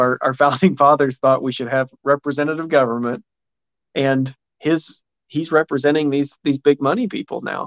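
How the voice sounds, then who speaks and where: In an American accent, a man with a plain, everyday voice talks at a moderate pace and a fairly high pitch with ordinary pitch variation, in a dry, close sound with no echo. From Indiana. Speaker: political candidate. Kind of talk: interview.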